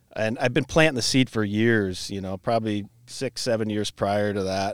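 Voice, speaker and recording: In a very clean recording with a silent background and a dry, close sound with no echo, a man speaks fairly quickly at a medium pitch with fairly even intonation. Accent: Midwestern American. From Iowa, Cedar Rapids area. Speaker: brewery owner and brewmaster. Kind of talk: casual chat.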